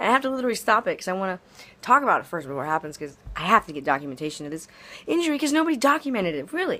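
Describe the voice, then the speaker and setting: In a very clean recording with a silent background, a woman talks very fast in an animated, bright, sharp tone with vocal fry, her fairly high pitch swinging very widely. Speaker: vlogger documenting an injury. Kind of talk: personal video diary. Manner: animated, rambling.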